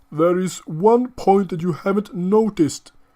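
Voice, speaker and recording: Putting on a character voice with a non-native accent, a man speaks at a moderate pace in a high pitch. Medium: read story. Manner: authoritative.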